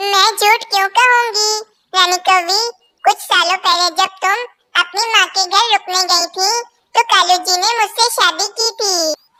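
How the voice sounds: A cartoonish character voice, female-sounding and extremely high in pitch, at a moderate pace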